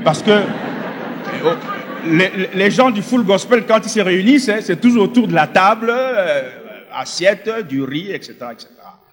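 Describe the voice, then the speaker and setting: At a fairly slow pace, a man with a high voice speaks with lively intonation and big swings in loudness. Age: 60s. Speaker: former occultist giving testimony. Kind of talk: testimony. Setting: stage with audience.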